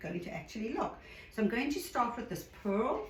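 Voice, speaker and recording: A woman talks at a fairly high pitch in a South African accent. Audible room echo and noticeable background noise come through. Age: 60s. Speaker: art hobbyist tutorial creator. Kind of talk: tutorial. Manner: casual.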